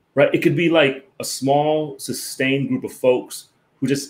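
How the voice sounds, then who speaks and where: A fairly quick delivery with an American accent. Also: man. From US East Coast. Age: 40s. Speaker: professor. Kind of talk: casual chat. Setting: video call. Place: home room. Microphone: video call.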